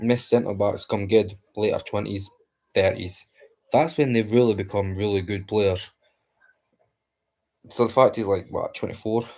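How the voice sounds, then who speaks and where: The voice is quiet with a Scottish accent, moving at a moderate pace with fairly even intonation and long, frequent pauses. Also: man, fairly low pitch for a man. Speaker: football fan streamer. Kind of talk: live match watchalong chat. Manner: quiet, keeping voice down.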